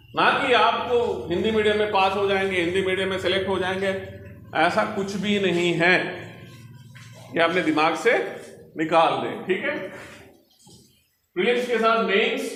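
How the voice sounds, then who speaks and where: A man with a Telangana accent speaks at a high pitch with fairly even intonation. He leaves long, frequent pauses, and audible room echo surrounds his voice. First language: Telugu (speaking Hindi). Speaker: senior civil servant. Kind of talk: motivational talk to students. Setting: library hall with student audience.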